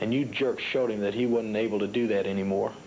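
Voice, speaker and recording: A man's angry tone at a medium pitch and moderate pace. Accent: American. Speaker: professional wrestler. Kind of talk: wrestling promo interview. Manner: angry, emphatic, threatening.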